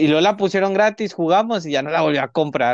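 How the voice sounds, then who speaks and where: The pace is fairly quick, with ordinary pitch variation and a plain, everyday voice. The sound is dry and close, with no echo. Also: man. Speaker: podcast co-host. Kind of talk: casual chat. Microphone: sounds distorted, muffled.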